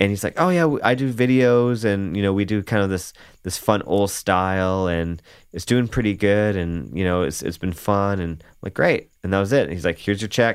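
Here a man with an unremarkable speaking voice talks at a moderate pace and fairly low pitch, with ordinary pitch variation. The recording is very clean and the background silent. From Canada. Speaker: bass player. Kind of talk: casual interview chat.

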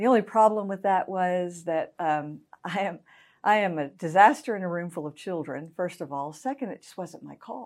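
At a moderate pace, a woman speaks at a medium pitch with ordinary pitch variation. The recording is very clean, with a silent background. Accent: American. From US South, Augusta, Georgia. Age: 50s. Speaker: pastor. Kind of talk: interview.

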